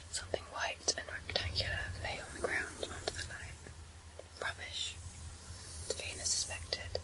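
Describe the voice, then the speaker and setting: Whispering, a woman keeps to a moderate pace. Noticeable background noise fills the recording. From England. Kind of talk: ASMR book reading. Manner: whispered.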